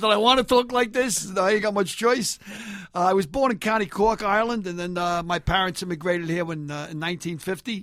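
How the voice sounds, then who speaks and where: With a New York accent, a man uses a raised, projected voice at a high pitch with ordinary pitch variation. He talks at a fairly quick pace amid noticeable background noise. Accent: Bronx New York. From New York, the Bronx. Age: 60s. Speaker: retired firefighter and comedian. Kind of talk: casual chat. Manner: animated.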